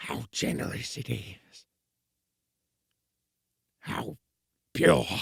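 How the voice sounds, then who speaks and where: A man uses a raspy, put-on character voice with a fairly low pitch, speaking quietly. His delivery is very slow, with long, frequent pauses. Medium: audio drama. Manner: quiet, disbelieving.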